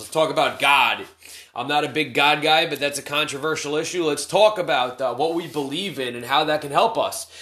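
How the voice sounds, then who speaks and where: A man's fairly high voice against noticeable background noise. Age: 30s. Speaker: addiction recovery podcast host. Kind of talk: casual monologue. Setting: home during quarantine. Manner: hesitant, many fillers.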